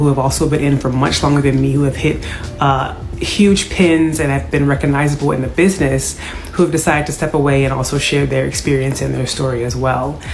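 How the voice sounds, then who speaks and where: A woman talks very fast at a very deep, low pitch with fairly even intonation. Noticeable background noise and audible room echo fill the recording. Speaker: YouTuber sharing former MLM experience. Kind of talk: video introduction; interview.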